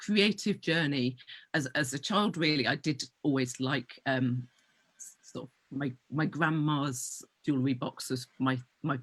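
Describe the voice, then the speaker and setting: A woman's very deep, low voice in a British accent, with ordinary pitch variation and long, frequent pauses. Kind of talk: interview. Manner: fast.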